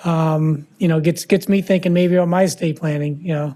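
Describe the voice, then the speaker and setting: Here a man speaks with a Midwestern US accent in a high voice. He moves at a fairly quick pace with fairly even intonation. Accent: US Midwest. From Iowa, Fort Dodge. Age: 60s. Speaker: lawyer. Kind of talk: lecture. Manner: casual, halting.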